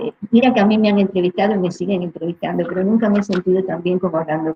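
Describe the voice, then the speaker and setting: Very fast in pace, a woman talks at a medium pitch with ordinary pitch variation. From Cuba. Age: 70s. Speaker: doctor. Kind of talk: interview.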